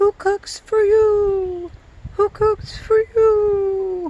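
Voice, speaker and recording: Pitched extremely high, a put-on character voice drags along at a very slow pace. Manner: hooting owl call.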